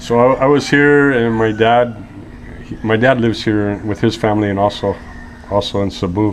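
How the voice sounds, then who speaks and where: There is noticeable background noise. A man with a Californian accent speaks with fairly even intonation. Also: medium pitch for a man, moderate pace. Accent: American (Californian). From US West Coast (Los Angeles). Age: 50s. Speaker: interview guest. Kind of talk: casual interview, storytelling. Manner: relaxed, chatty.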